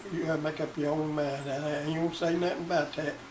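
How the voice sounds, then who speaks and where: Amid noticeable background noise and audible room echo, a man with a Southern US accent talks at a moderate pace with a fairly high pitch. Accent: Southern US (Georgia). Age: 80s+. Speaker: retiree recounting his life. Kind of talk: oral history interview.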